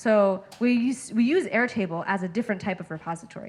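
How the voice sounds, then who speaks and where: A woman speaks at a fairly high pitch. Her voice is somewhat breathy. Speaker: user research lead, speaker. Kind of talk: Q&A after a talk. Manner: fast.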